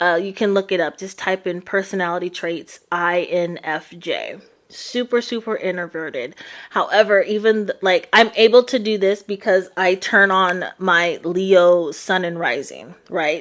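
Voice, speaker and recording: A woman speaks at a fairly slow pace. Her medium pitch shows ordinary variation. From New York or New Jersey. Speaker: psychic tarot reader. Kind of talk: live stream chat. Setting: live stream replay. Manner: halting, many fillers.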